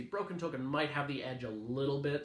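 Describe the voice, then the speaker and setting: Audible room echo follows a man whose fairly high voice has ordinary pitch variation. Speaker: board game reviewer. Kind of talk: product review video. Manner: fast.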